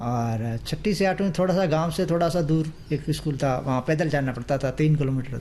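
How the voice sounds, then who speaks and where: Speaking with hardly any pauses, a man holds a very even loudness at a fairly high pitch over noticeable background noise. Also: ordinary pitch variation. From western Rajasthan, Barmer area near Pakistan border. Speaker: radio listener. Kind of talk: radio interview.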